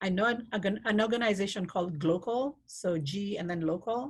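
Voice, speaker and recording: The voice is somewhat breathy. It carries a non-native accent. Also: woman. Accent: noticeable foreign. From Kenya. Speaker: refugee program worker and speaker. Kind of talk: Q&A at online talk.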